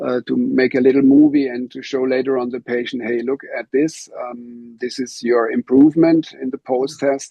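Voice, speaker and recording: Music plays in the background as a man talks at a moderate pace. His intonation stays monotone and flat. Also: medium pitch for a man. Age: 60s. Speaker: physiotherapy instructor. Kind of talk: interview. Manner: halting.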